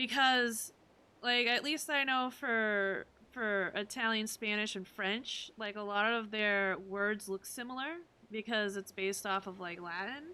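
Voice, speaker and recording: A woman's fairly high, bright and sharp voice with ordinary pitch variation, a fairly slow pace and a Massachusetts accent, on a very clean recording with a silent background. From Massachusetts, US. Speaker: video game streamer. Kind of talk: casual live-stream chat.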